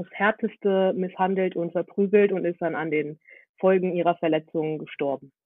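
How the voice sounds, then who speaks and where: A woman with an ordinary speaking voice talks at a moderate pace. Her pitch is fairly low and her intonation fairly even. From Germany, Hannover. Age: 20s. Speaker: activist and student. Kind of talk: casual interview.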